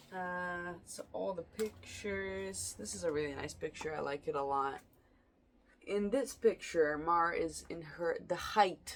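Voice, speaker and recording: A woman speaks at a fairly slow pace. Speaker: vlogger. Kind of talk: late-night personal vlog monologue. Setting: at home at night. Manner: casual, rambling with hesitations.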